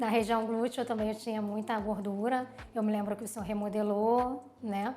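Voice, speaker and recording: Against background music, a woman speaks at a fairly high pitch in a monotone, flat intonation. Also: moderate pace. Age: 30s. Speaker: plastic surgery patient. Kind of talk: testimony.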